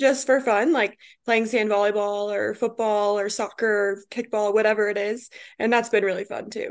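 A woman with an American accent has a normal speaking voice, fairly high in pitch, with fairly even intonation. She speaks at a moderate pace against a quiet background. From Colorado. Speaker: former college athlete. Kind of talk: casual interview.

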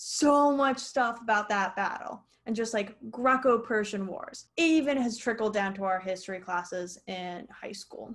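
Lively intonation runs through an ordinary speaking voice delivered at a fairly slow pace. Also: woman. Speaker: podcast co-host. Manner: casual, chatty, uses lots of filler words.

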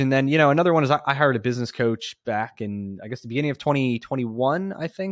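The man speaks at a very fast pace, the sound dry and close with no echo. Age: 30s. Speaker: automotive repair franchise owner. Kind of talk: interview. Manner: casual, filler-heavy.

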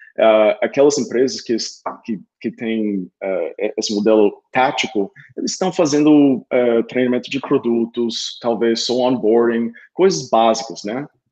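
Here a man with a dark, mellow tone speaks at a medium pitch and a fairly slow pace, with ordinary pitch variation. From Oklahoma, US (Tulsa). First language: English (speaking Portuguese). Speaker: sales enablement consultant. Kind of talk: interview. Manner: halting, with filler and repeated words.

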